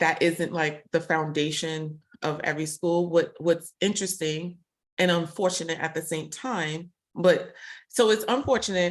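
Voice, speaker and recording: Over a quiet background, a woman with a Brooklyn accent talks at a moderate pace in a fairly low pitch. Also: ordinary pitch variation. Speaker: tech professional guest. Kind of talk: casual interview conversation.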